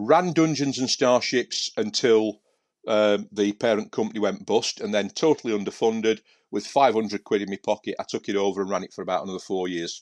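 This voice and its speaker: Fairly low-pitched man with a Yorkshire accent, fairly quick pace, ordinary pitch variation, dry, close sound with no echo, quiet background. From Yorkshire, Sheffield area. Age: 50s. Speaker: professional miniature painter and author. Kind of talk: casual chat.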